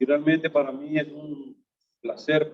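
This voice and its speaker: Fairly high in pitch, a man speaks in a monotone, flat intonation. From Honduras, Tegucigalpa. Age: 60s. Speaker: businessman, fellowship member. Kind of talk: testimony.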